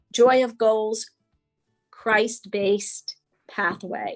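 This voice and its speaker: Music plays in the background as a woman with a fairly high pitch speaks very slowly, the sound dry and close with no echo. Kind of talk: coaching presentation.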